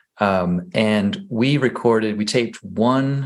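An unremarkable speaking voice comes from a man with a medium pitch. His pitch variation is ordinary. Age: 40s. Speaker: podcast host and yoga teacher. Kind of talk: casual interview conversation.

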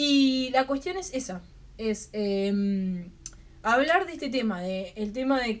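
This woman has a plain, everyday voice. Her pitch is fairly high, with ordinary pitch variation. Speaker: podcast co-host. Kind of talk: casual chat.

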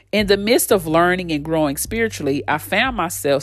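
Vocal fry marks this woman's very deep, low pitch and very wide pitch swings, in an American accent. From Texas, Fort Worth. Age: 40s. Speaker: podcast host. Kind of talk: personal storytelling monologue.

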